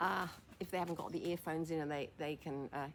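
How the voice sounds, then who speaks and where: A very fast-talking woman with a very deep, low pitch and fairly even intonation. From England. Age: 80s+. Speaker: former fashion model and senior lifestyle vlogger. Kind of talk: casual monologue to camera. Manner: hesitant, with fillers and false starts.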